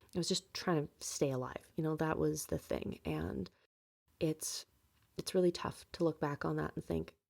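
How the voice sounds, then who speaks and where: A woman at a moderate pace in a dry, close sound with no echo. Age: 20s. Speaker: podcast host. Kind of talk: personal monologue podcast.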